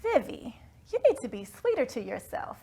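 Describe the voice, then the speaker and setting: A woman does a put-on character voice in a Southern US accent, speaking at a moderate pace and an extremely high pitch with very wide pitch swings. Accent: Southern Belle. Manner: gentle, sweetly scolding.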